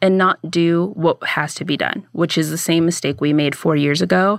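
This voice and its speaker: On a very clean recording with a silent background and a dry, close sound with no echo, a woman with a General American accent speaks at a fairly low pitch with fairly even intonation, an ordinary speaking voice. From US Southwest (Phoenix, Arizona). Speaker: podcaster. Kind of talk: interview answers.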